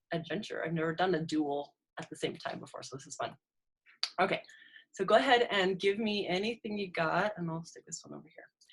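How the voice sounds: The delivery moves at a fairly quick pace with ordinary pitch variation. A slightly husky edge runs through it. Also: woman, fairly low pitch for a woman.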